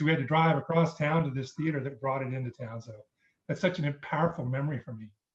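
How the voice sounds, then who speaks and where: Speaking at a very fast pace, a man with a fairly high pitch and a somewhat breathy voice keeps a fairly even intonation while his loudness swings widely. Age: 50s. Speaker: viewer asking a question. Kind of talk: casual chat.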